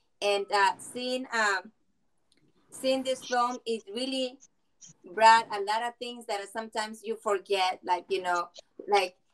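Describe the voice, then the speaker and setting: Speaking at a fairly slow pace, a woman with a Spanish accent keeps her intonation fairly even. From Mexico. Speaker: film viewer giving comments. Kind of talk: panel discussion comments. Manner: halting.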